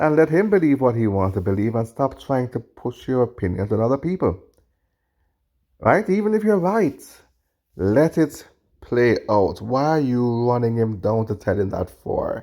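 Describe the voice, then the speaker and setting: With a Jamaican accent, a man at a medium pitch delivers lively intonation and a dark, mellow tone at a moderate pace on a very clean recording with a silent background. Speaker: podcast host, video commentator. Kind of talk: reaction commentary. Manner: halting, self-correcting.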